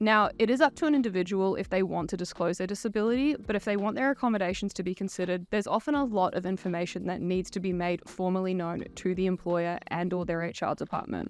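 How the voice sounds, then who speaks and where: Someone talks at a very fast pace with an Australian accent. Pitch varies normally, and the background is quiet. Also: woman, medium pitch for a woman. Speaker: YouTuber commenting on neurodiversity. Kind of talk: commentary video monologue.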